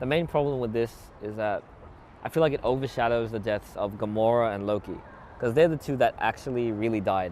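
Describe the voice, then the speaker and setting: With an Australian accent, a man talks at a very fast pace using ordinary pitch variation. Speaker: YouTuber, movie commentator. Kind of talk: casual movie commentary to camera. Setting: outdoors.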